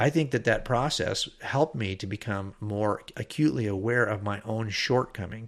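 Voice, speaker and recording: An ordinary speaking voice from a man at medium pitch, moderate pace with hardly any pauses and ordinary pitch variation, in a very clean recording with a silent background. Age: 60s. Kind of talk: podcast monologue.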